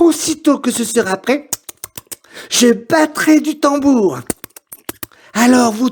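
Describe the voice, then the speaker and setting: In a put-on character voice with a high pitch, the speaker goes at a fairly slow pace with long, frequent pauses. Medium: read story. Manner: polite, persuasive.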